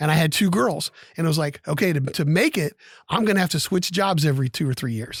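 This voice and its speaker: A man with an American accent, fairly high in pitch with ordinary pitch variation, at a very fast pace, in a very clean recording with a silent background and dry, close sound with no echo. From Ohio. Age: 60s. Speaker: podcast co-host. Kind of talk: show closing; casual chat.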